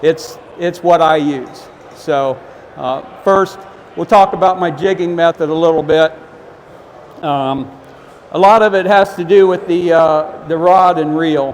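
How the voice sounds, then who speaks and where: A loud man with an American accent speaks high for a man, with ordinary pitch variation, at a fairly slow pace. Long, frequent pauses break up his speech over noticeable background noise. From Ohio. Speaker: fishing expert giving a seminar. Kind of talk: seminar talk. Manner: halting, many fillers.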